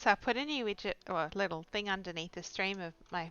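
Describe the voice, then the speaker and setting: This woman speaks at a moderate pace in a medium pitch. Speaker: game streamer. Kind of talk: casual chat. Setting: live stream.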